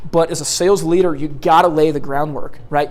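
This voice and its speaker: A man with an American accent and a fairly high pitch, heard through audible room echo and noticeable background noise. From US Pacific Northwest, Portland Oregon. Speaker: sales trainer. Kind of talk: seminar lecture. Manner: loud and fast.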